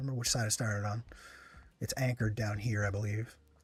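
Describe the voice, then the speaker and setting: The man's voice is somewhat breathy. He talks fairly quickly. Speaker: gaming streamer. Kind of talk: live gameplay commentary. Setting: live stream. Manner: soft-spoken; halting.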